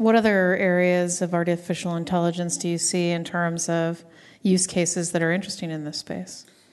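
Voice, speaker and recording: In a fairly low pitch, a woman speaks at a fairly quick pace with monotone, flat intonation. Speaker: podcast host. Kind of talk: interview. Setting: live at a conference.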